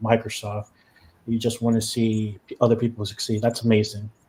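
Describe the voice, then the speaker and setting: A man with a medium pitch speaks at a moderate pace in a dark, mellow tone that is somewhat breathy. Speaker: podcast host. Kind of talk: podcast interview.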